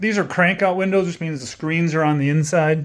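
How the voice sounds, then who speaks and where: A man's voice at a moderate pace, in a very clean recording with a silent background. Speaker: real estate agent giving a house tour. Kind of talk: casual walkthrough video tour. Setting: indoors walking through a house. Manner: casual, filler-heavy.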